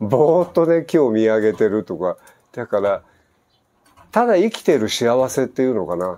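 A man's dark, mellow tone with very wide pitch swings. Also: moderate pace. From Japan. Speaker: expat vlogger. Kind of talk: casual vlog answering listener mail. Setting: outdoor gazebo at home. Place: garden. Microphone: lapel.

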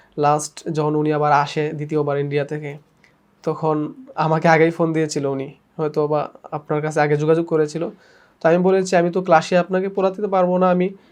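A man speaks at a fairly high pitch in a monotone, flat intonation. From Sylhet, Bangladesh. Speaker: head teacher at madrasa. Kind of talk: testimony.

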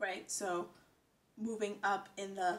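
A woman with an American accent speaks in a monotone, flat intonation over light background noise. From United States. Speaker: vlogger. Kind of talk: casual talk to camera. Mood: thoughtful, reflective. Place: home room. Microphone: phone near.

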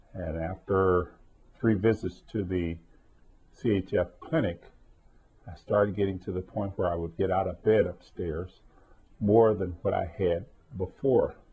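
A man with a low-pitched voice speaks with fairly even intonation. There is a slightly husky edge to it. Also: fairly slow pace.

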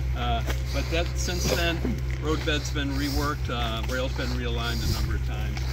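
Against loud background noise, a man speaks with a dry sound that has no echo. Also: moderate pace. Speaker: railfan visitor. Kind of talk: casual explanatory chat. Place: open country. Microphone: phone near.

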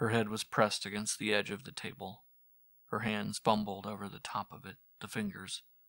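Over a quiet background, the speaker uses a natural reading voice.

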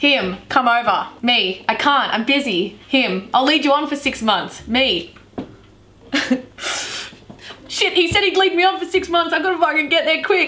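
In an Australian accent, a raised, projected voice moves at a fairly slow pace with very wide pitch swings. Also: woman. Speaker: YouTuber. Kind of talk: casual talk to camera. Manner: upbeat, joking. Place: home room.

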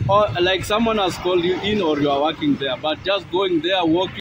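Noticeable background noise sits behind a man's high voice, which has ordinary pitch variation and a dry sound with no echo. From Kenya. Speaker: vlogger's companion. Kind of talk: casual account to camera. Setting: outdoors. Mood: indignant storytelling. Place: street. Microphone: phone near.

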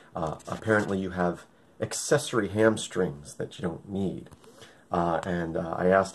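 A man's very deep, low voice carries fairly even intonation. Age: 30s. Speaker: video blogger. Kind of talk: video diary. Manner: casual, hesitant with fillers. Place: home room. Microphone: webcam.

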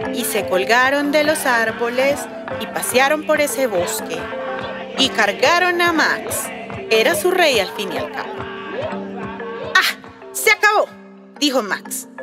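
Over clear music in the background, a high-pitched woman speaks very slowly with lively intonation and long, frequent pauses. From Colombia. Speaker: children's storyteller; voice actor. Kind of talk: read-aloud children's story. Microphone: phone near.

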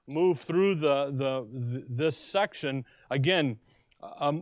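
Against a quiet background, a man speaks at a very slow pace with ordinary pitch variation, in a dry sound with no echo. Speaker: Bible teacher. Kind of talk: sermon. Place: classroom. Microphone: podium.

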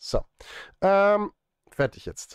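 A man speaks at a very slow pace in a high voice with big pitch swings, his tone clear and smooth and the sound dry and close with no echo.

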